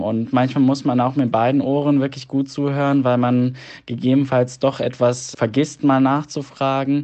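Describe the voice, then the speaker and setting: At a moderate pace, a man with a medium pitch speaks in a monotone, flat intonation. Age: 20s. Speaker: medical student. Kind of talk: voice message answers. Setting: recorded voice messages.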